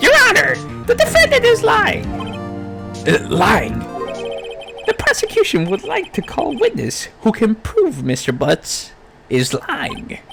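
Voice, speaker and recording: A man's put-on character voice at a fairly slow pace, with long, frequent pauses and clear music in the background. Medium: game stream. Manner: formal, self-assured.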